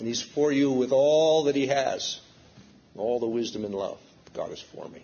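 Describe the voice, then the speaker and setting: A man talks at a fairly slow pace and a medium pitch. His intonation is lively, and audible room echo surrounds the voice. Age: 60s. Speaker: preacher. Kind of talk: sermon.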